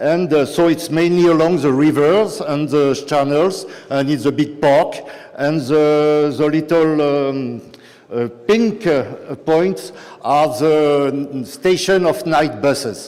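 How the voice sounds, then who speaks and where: A man's fairly high voice in a strong French accent, very slow in pace, with ordinary pitch variation and very even loudness, amid audible room echo and noticeable background noise. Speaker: city nightlife policy official. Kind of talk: conference talk. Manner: halting, many fillers.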